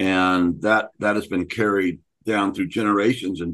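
A man with an unremarkable speaking voice talks at a moderate pace and a fairly low pitch against a quiet background. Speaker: podcast host. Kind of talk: casual chat.

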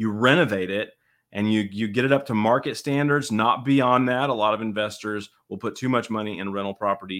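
Here is a man with a plain, everyday voice and a fairly low pitch. He talks at a fairly quick pace with ordinary pitch variation. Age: 40s. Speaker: real estate investor, podcast host. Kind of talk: casual chat.

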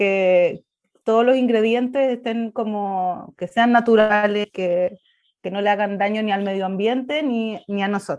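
This is a woman with a Chilean accent. Her pitch is fairly high. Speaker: travel blogger. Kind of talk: casual interview.

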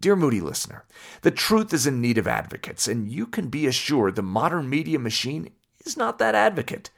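Vocal fry marks this man's voice, delivered with an American accent. He moves at a fairly quick pace through very wide pitch swings. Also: medium pitch for a man. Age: 30s. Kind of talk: scripted narration.

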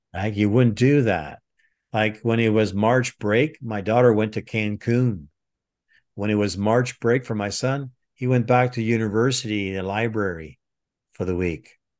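A fairly low-pitched man at a fairly slow pace, ordinary pitch variation, quiet background. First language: French. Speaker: retired military intelligence officer, trainer. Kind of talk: interview.

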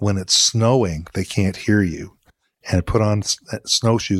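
This man has an unremarkable speaking voice with a Canadian accent, fairly low in pitch with ordinary variation, delivered at a moderate pace in a dry, close sound with no echo. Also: very clean recording, silent background. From southwestern Ontario, Canada (London). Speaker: veterinarian. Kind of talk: interview conversation.

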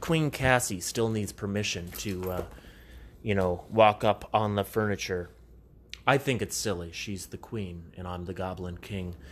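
A man speaks quietly at a fairly low pitch. His loudness swings a lot. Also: ordinary pitch variation, fairly slow pace. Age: 30s. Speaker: comedian and podcast host. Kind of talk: casual solo podcast monologue. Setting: home recording. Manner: quiet, like telling a secret; animated, stumbling over words.

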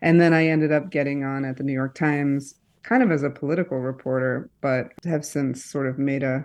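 Speaking in a Midwestern US accent, a woman with a very deep, low pitch talks at a moderate pace in a monotone, flat intonation. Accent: General American, Midwestern. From Michigan, East Lansing. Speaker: journalist and author. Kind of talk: radio interview.

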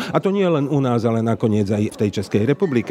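A man talks over noticeable background noise. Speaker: journalist. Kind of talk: interview.

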